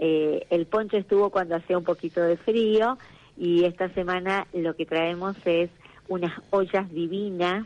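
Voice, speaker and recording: At a fairly slow pace, a woman speaks with fairly low pitch and fairly even intonation. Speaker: director of a traditional crafts market. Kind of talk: radio interview. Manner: hesitant, with many fillers.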